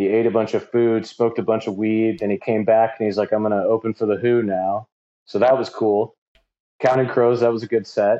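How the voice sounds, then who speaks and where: With a Midwestern US accent, a man speaks fairly quickly at medium pitch in a monotone, flat intonation. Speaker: DJ. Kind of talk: casual interview chat.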